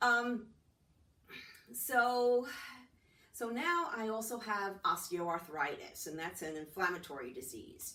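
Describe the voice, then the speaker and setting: A woman's fairly high voice with very wide pitch swings, very slow and full of long, frequent pauses, in a room with audible echo. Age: 60s. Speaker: testimonial speaker. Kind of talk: testimony. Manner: casual, halting with fillers.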